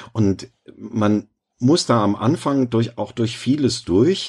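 A man speaks at medium pitch with ordinary variation. He has an unremarkable speaking voice. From rural Germany. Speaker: novelist and former therapist. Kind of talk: interview.

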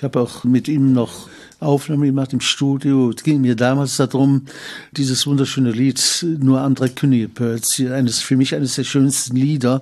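A man's medium-pitched voice in a Cologne accent, monotone and flat in intonation, with very even loudness. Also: moderate pace. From Cologne, Germany. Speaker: carnival historian and author. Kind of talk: interview recollection.

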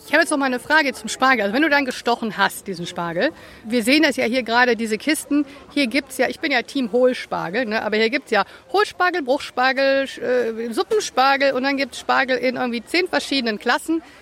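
Amid noticeable background noise, a woman with a high pitch speaks at a fairly quick pace with lively intonation. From partly USA, German-American. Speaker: podcast co-host. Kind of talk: casual chat.

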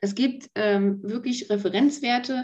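A woman's somewhat breathy voice, dark and mellow in tone, fairly slow, with ordinary pitch variation. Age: 40s. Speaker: pharmacy technician. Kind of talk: casual interview.

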